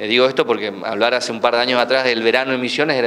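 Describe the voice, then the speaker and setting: Light background noise sits under a man's voice. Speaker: tourism minister. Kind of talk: press interview answer. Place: hall. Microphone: handheld.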